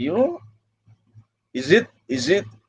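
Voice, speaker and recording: At a fairly slow pace, a man speaks with a Spanish accent. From Mexico (Mexicali), partly California. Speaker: migrant rights activist. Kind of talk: livestream interview. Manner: halting, with frequent repetitions.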